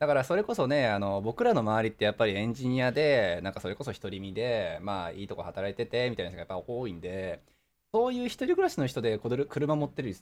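Here a man rattles along at a very fast pace with lively intonation. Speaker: podcast host. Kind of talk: casual chat.

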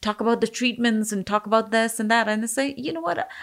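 At a fairly quick pace, a woman speaks in a fairly high pitch on a very clean recording with a silent background. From India. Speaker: business owner. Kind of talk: interview.

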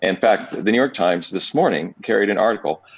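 An unremarkable speaking voice from a man, fairly low in pitch, with lively intonation. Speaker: businessman. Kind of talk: friendly interview conversation. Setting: radio show interview.

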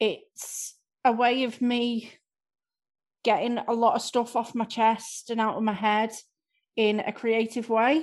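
In a slight Scouse accent, the speaker uses monotone, flat intonation with long, frequent pauses against a quiet background. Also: woman, fairly high pitch for a woman. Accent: slight Scouse-tinged north-west English. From Southport, north-west England. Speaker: improv class member and guest. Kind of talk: casual interview chat.

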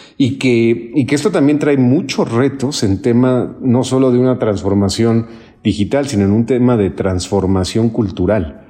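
At a fairly slow pace, a man speaks in a medium pitch with a dark, mellow tone, very even loudness and ordinary pitch variation. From Mexico City. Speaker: human capital consultant. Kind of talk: interview. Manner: hesitant, repeats words.

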